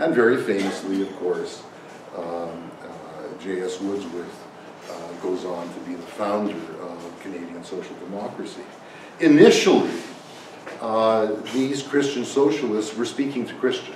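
At a fairly slow pace, a man with a fairly low pitch shows big swings in loudness, heard with audible room echo and light background noise. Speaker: conference panelist. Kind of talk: lecture. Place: meeting room.

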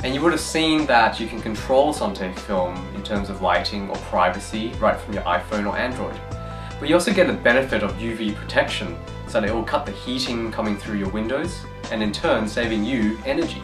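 Clear music plays in the background. A man talks at a fairly quick pace. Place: studio.

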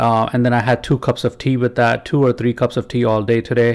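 At a moderate pace, a man talks while the background stays quiet. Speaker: vlogger. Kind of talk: casual vlog chat. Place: home room. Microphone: studio mic.

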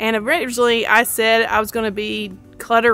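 At a moderate pace, a woman speaks in a dry sound with no echo while faint music plays in the background. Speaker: home decluttering vlogger. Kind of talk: casual vlog chat. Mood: relaxed, reassuring. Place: garden.

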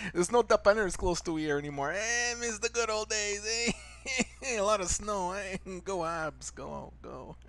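A man puts on a cartoonish character voice, high-pitched, with ordinary pitch variation. He speaks at a moderate pace over light background noise. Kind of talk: comedy cartoon voiceover.

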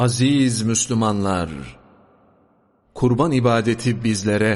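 At a very slow pace, a man speaks with fairly even intonation. His pitch is medium. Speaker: religious sermon reader. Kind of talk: mosque sermon (khutbah) reading. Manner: formal, measured sermon delivery.

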